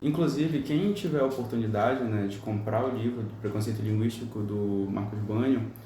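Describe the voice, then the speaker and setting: A man of medium pitch talks at a moderate pace with hardly any pauses and ordinary pitch variation. Noticeable background noise and audible room echo are present. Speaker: podcast panelist. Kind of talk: panel discussion.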